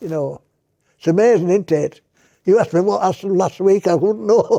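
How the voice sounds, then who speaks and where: Here a man's voice sounds dark and mellow, pitched high. He talks at a fairly quick pace. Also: ordinary pitch variation. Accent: Yorkshire. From Yorkshire, England. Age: 80s+. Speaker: retired shop manager, army veteran. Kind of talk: interview answer.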